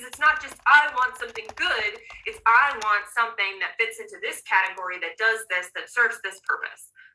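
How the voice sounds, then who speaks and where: A woman's high, raised and projected voice, animated and passionate in tone, at a fairly quick pace. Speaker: coach running a manifestation master class. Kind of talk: online class presentation. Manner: fast; animated, passionate.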